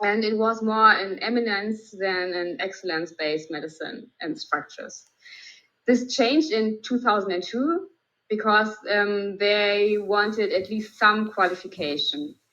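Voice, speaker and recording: Her tone bright and sharp, a woman with a German accent talks at a fairly high pitch and fairly slow pace, with ordinary pitch variation. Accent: German accent (non-native English). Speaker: emergency physician. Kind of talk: lecture. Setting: video call. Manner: hesitant, many fillers.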